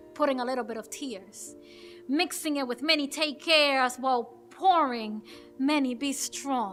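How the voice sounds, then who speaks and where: With music playing in the background, a woman speaks at a moderate pace in a high pitch with ordinary pitch variation. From Dominican Republic. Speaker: poet and actress. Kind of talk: spoken word poetry performance.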